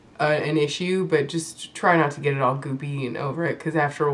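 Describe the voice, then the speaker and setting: A woman talks at a fairly quick pace in a very deep, low pitch. Noticeable background noise can be heard. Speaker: beauty vlogger. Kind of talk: makeup tutorial talk to camera.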